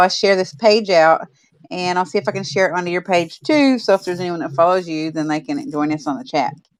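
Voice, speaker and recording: Talking at a very fast pace, a woman with a Southern US accent uses lively intonation at a medium pitch. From Oklahoma. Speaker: podcast host. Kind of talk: casual chat.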